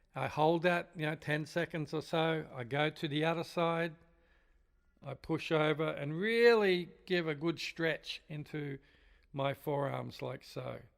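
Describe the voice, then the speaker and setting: On a very clean recording with a silent background, a man with a plain, everyday voice speaks at a fairly high pitch, with fairly even intonation and a fairly slow pace. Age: 60s. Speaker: drum teacher. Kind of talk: tutorial. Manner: casual, conversational.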